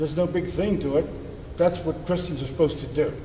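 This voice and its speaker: A man with an American accent and fairly even intonation, noticeable background noise and audible room echo around him. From Pittsburgh, US. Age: 70s. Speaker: deacon. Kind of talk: sermon. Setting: church. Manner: casual, folksy.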